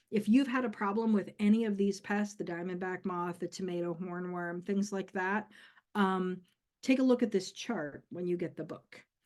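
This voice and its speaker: An unremarkable speaking voice from a woman, medium in pitch, with ordinary pitch variation, a moderate pace and a quiet background. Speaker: community herbalist giving a workshop. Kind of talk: workshop lecture.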